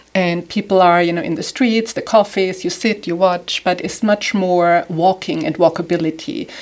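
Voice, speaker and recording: Speaking with hardly any pauses, a woman at medium pitch keeps a moderate pace and ordinary pitch variation. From southern Germany. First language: German. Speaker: home stager and designer. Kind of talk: podcast interview.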